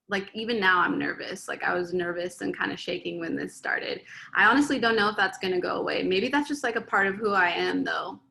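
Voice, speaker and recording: A woman talks at a very fast pace with hardly any pauses. She has an American accent. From San Diego, California. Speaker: DJ. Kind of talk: interview. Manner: voice cracks, pitch varies; halting.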